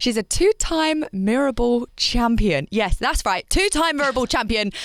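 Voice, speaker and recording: Over noticeable background noise, a woman with a British accent speaks at a moderate pace, her fairly high pitch swinging very widely. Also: dry, close sound with no echo. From UK. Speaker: radio podcast host. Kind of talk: casual interview chat.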